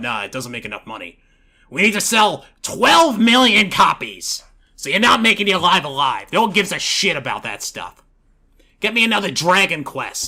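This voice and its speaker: A man's put-on character voice, high-pitched, with very wide pitch swings and big swings in loudness. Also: moderate pace. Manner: dismissive, blunt, exaggerated.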